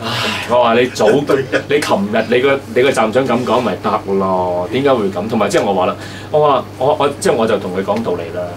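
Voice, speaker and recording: A man moves at a fairly quick pace with ordinary pitch variation while noticeable noise sounds behind him. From Hong Kong. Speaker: podcast host. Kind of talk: casual chat. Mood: relaxed, joking. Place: studio.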